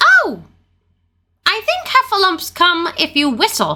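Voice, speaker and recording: A woman puts on a squeaky character voice at an extremely high pitch. She speaks at a fairly slow pace with very wide pitch swings. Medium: read story. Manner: fussy.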